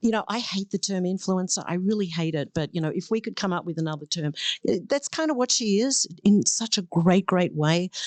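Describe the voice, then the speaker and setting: In a dry, close sound with no echo and a quiet background, a woman of medium pitch talks at a fairly quick pace with lively intonation. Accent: Australian. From Australia. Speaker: beer educator. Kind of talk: casual podcast chat.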